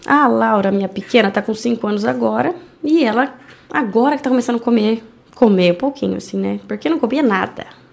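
A woman with vocal fry speaks at a fairly quick pace in a fairly high pitch with lively intonation. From Brazil, Indaiatuba (São Paulo state). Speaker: entrepreneur and animal charity founder. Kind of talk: casual interview.

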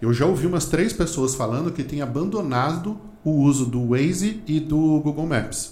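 A man's fairly high voice with ordinary pitch variation at a moderate pace, with audible room echo. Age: 40s. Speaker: marketing author and teacher. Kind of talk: casual interview.

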